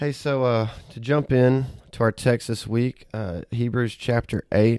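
In a Southern US accent, a man speaks with a dark, mellow tone, medium pitch and ordinary pitch variation, in a very clean recording with a silent background and a dry, close sound with no echo. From US South, Auburn, Alabama. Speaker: pastor. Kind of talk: podcast Bible discussion.

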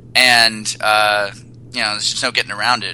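Against noticeable background noise, a man talks at medium pitch. His intonation is monotone and flat. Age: 30s. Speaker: personal trainer and dating coach. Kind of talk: casual chat.

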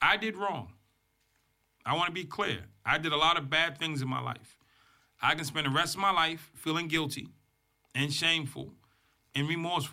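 A man with an American accent speaks in an animated, bright and sharp tone at a fairly high pitch, with some vocal fry. His pace is moderate, broken by long, frequent pauses. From Boston, Massachusetts. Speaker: motivational speaker, former prisoner. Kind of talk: interview storytelling.

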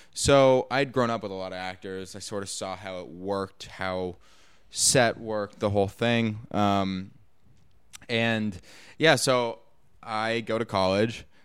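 A man with an ordinary speaking voice, fairly low in pitch, at a fairly slow pace with fairly even intonation and big swings in loudness, in a very clean recording with a silent background. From Los Angeles. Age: 20s. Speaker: actor and producer. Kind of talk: casual interview chat. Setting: studio.

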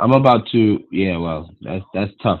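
A man talks in an ordinary speaking voice with a fairly low pitch. His pace is moderate. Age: 30s. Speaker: podcast co-host. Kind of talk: casual chat. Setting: remote recording. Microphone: poor audio quality early in episode.

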